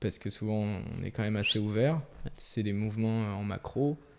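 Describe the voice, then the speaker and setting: At a moderate pace, a man with a plain, everyday voice talks at medium pitch with ordinary pitch variation. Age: 20s. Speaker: first camera assistant. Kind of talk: casual chat.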